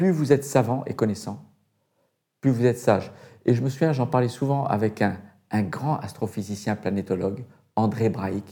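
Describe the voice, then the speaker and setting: A man's dark, mellow voice with ordinary pitch variation and a fairly slow pace, on a very clean recording with a silent background. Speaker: retired astronaut. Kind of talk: interview.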